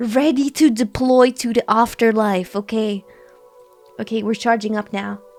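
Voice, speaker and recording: A woman's voice with music in the background. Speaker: horror vtuber and ASMR artist. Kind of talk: casual talk to camera, vtuber debut stream. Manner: chatty, repeats phrases.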